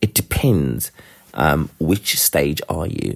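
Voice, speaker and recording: A man with vocal fry talks at a very slow pace, his pitch swinging very widely. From South Africa. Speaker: listener and guide dog user. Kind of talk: voice message.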